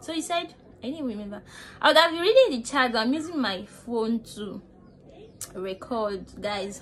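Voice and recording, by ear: The tone is fairly bright and the intonation lively. Delivery moves at a moderate pace. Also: woman, fairly high pitch for a woman.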